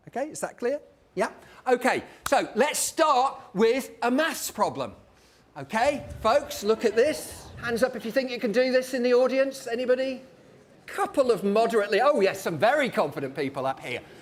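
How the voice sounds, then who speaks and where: A man speaks at a moderate pace in an extremely high voice. His intonation is lively. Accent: British. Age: 50s. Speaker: professor giving public lecture. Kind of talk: lecture. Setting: stage with audience. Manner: animated.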